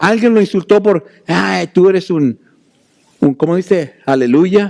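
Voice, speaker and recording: A man with a high pitch speaks at a very slow pace. His intonation is lively. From Mexico, Puebla. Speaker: pastor. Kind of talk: sermon.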